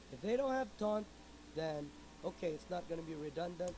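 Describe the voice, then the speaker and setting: The speaker is a man. His pitch is high. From Philippines. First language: Filipino. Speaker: video game streamer. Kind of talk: tutorial. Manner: halting.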